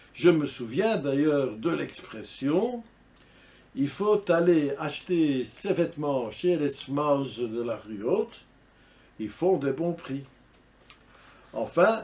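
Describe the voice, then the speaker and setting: The man talks at a very slow pace. His fairly high voice carries a dark, mellow tone. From Brussels, Belgium (Ganshoren, Saint-Gilles). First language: Brussels Flemish dialect (speaking French). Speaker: dialect enthusiast / vlogger. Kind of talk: casual monologue to camera.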